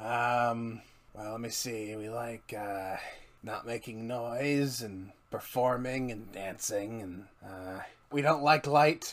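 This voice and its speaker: Using a put-on character voice at a medium pitch, the man speaks at a very slow pace. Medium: actual play. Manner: conspiratorial, apologetic, casual.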